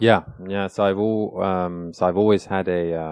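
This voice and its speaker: In a British accent, a man talks at a fairly slow pace. His very deep, low pitch stays in a monotone, flat intonation. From England (London), then south of France. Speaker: think tank researcher. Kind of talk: podcast interview. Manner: hesitant, many fillers.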